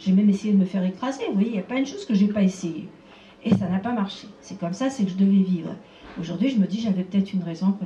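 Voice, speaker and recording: A woman's medium-pitched voice holds fairly even intonation against noticeable background noise. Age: 70s. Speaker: abuse survivor and association founder. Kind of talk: conference talk.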